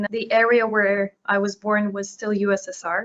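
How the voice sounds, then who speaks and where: Speaking at a fairly slow pace, a woman talks with a Russian accent. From Ukraine, then Czech Republic from age 11. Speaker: portfolio manager. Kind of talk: interview. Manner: hesitant, with fillers.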